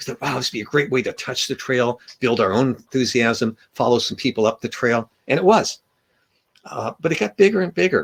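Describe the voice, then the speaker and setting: With an American accent, a man at medium pitch speaks at a fairly quick pace with lively intonation, the sound dry and close with no echo. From Southern California. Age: 60s. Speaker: author and long-distance hiker. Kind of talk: author talk with slides.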